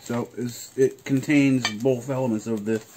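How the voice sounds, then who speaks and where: Light background noise is present. Over it, a man talks. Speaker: vlogger. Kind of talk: casual vlog chat. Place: kitchen. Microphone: phone near.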